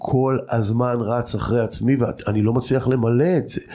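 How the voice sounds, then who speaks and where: This man's voice sits at a medium pitch. He speaks in a flat monotone. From Israel, Jordan Valley kibbutz. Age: 50s. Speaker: cultural researcher and lecturer. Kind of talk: personal life story interview.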